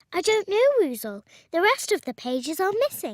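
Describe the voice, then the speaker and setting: A squeaky cartoonish character voice at an extremely high pitch, with very wide pitch swings at a moderate pace, in a very clean recording with a silent background. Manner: gentle, patient.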